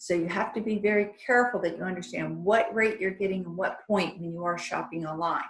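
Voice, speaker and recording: A woman talks at a fairly quick pace with hardly any pauses, in an ordinary speaking voice. Her pitch sits in the medium range and her intonation stays fairly even. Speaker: mortgage lender. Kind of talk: seminar presentation.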